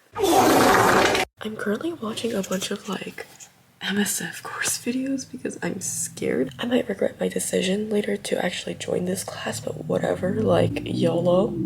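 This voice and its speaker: A woman speaks at a moderate pace as noticeable background noise carries on behind her. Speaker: vlogger. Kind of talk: casual vlog narration. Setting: in a car.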